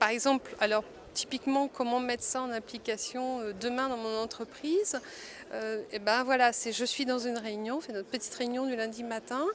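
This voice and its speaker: Her pitch is high for a woman. The intonation stays fairly even. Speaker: multimedia designer, workshop participant. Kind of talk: interview testimony. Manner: slow; hesitant, many fillers.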